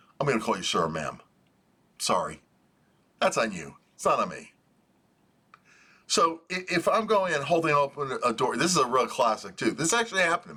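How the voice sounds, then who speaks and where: This man, with an American accent, talks at a fairly quick pace with long, frequent pauses. His loudness swings widely. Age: 60s. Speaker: commentator. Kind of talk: monologue. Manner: casual.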